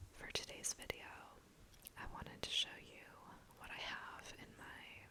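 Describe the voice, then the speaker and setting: The words are whispered. Background noise is noticeable throughout. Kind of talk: ASMR show-and-tell.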